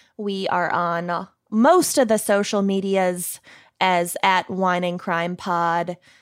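A woman with a Minnesotan accent speaks in a medium pitch with fairly even intonation, on a very clean recording with a silent background. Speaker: true crime podcast co-host, guest. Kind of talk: casual chat.

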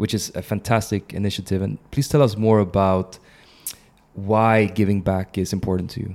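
Someone speaks at a moderate pace in a Swedish accent. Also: man, fairly low pitch for a man, fairly even intonation. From Sweden. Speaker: podcast host. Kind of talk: interview.

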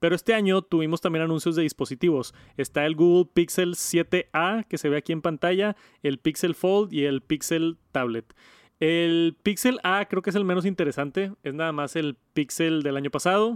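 A man with a high pitch speaks at a moderate pace. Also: ordinary pitch variation. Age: 30s. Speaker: tech podcast host and youtuber. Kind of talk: casual chat.

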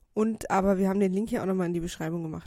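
A woman is speaking at medium pitch. Her tone is dark and mellow. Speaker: show announcer. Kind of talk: live announcement. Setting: stage with audience.

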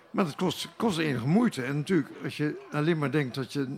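Over noticeable background noise, a man with a fairly high pitch talks fairly quickly and with lively intonation. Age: old. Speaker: poet. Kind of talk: casual interview. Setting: live at a wine bar in a festival foyer.

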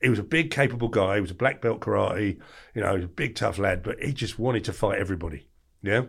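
Speaking very fast in a somewhat breathy voice, a man comes through on a very clean recording with a silent background. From southeast England (Margate, Kent). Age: 40s. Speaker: former doorman telling life stories. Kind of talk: casual interview storytelling. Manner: animated.

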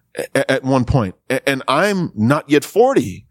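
The voice has an American accent, recorded with a dry, close sound and no echo. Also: man. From US South, rural Louisiana. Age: 30s. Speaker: pastor. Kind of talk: talk. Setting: video call. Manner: halting.

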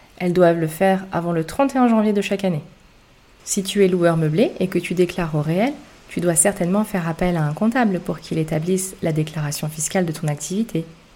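Speaking at a moderate pace, a woman has a fairly low, somewhat breathy voice with a dark, mellow tone and ordinary pitch variation. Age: 30s. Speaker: tax and real estate podcaster, former accountant. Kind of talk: scripted narration.

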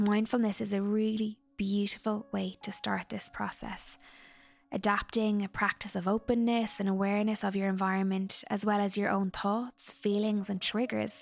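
A woman's monotone, flat voice on a very clean recording with a silent background. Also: medium pitch for a woman, moderate pace. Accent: Irish. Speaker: psychologist podcast host. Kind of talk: interview, scripted intro and advice.

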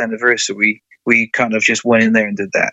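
A man with an English accent. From England. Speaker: country singer-songwriter. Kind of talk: interview. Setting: phone call.

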